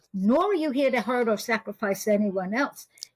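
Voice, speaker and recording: This woman has a fairly high pitch and a New York accent. The sound is dry and close, with no echo. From US Northeast (New York). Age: 80s+. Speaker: spiritual teacher and intuitive reader. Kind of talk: interview conversation.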